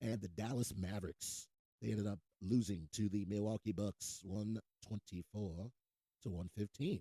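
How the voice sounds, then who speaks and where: Dry and close with no echo, a man's fairly low, dark, mellow voice moves at a moderate pace with fairly even intonation. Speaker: show host. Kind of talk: casual chat.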